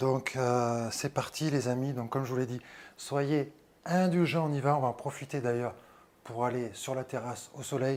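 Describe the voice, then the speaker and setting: Pitch varies in an ordinary way as the speech proceeds at a moderate pace. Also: man. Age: 40s. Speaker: fitness youtuber. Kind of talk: casual vlog tutorial. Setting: outdoors on terrace. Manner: soft-spoken.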